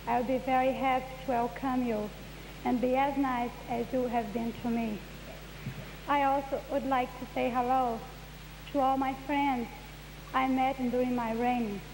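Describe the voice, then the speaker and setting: With a Brazilian Portuguese accent, a woman speaks at a moderate pace in a high, monotone, flat voice, her loudness very even, with long, frequent pauses, audible room echo and noticeable background noise. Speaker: beauty queen. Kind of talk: farewell speech.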